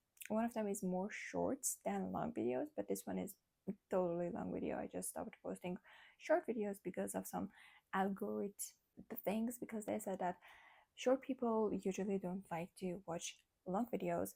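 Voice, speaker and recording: A woman with a non-native accent, speaking at a moderate pace with long, frequent pauses. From Armenian community in Iran. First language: Armenian. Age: 20s. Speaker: vlogger. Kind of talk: casual chat. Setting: nighttime talk at home.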